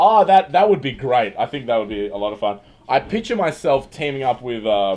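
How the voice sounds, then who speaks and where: Loud and at a fairly quick pace, this voice with an Australian accent swings very widely in pitch. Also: man, medium pitch for a man. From Western Australia. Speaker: livestreamer and comedian. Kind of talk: casual livestream chat; reading news aloud. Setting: livestream.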